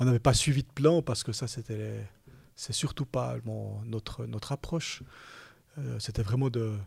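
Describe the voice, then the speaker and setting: A man breaks up his moderate-paced talking with long, frequent pauses. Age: 50s. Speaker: bank executive. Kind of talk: interview. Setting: studio. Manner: halting.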